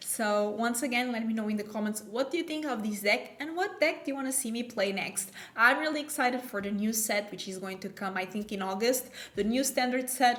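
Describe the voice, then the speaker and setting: A woman's fairly high voice with a non-native accent, fairly quick pace and ordinary pitch variation, with audible room echo. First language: not English. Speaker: gaming YouTuber. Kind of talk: gameplay commentary. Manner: casual, thinking aloud.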